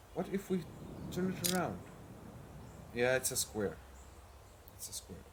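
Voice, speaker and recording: Speaking at a moderate pace with a non-native accent, a man leaves long, frequent pauses as his loudness swings widely. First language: not English. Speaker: gaming video creator. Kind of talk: gameplay commentary. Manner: hesitant, many fillers.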